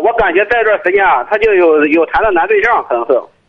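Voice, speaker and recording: Talking at a very fast pace, a man uses a high voice with ordinary pitch variation. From Tai'an, Shandong. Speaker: parent caller. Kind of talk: phone-in advice call.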